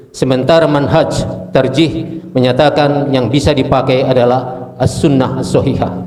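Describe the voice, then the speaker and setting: Amid noticeable background noise and audible room echo, a man speaks at medium pitch with ordinary pitch variation. His pace is moderate, with very even loudness and hardly any pauses. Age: 70s. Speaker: conference delegate. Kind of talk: question from the floor. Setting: meeting hall.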